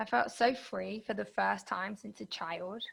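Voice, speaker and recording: Here a woman speaks. She has a British accent. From UK. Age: 20s. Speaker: podcast host. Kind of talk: interview answer.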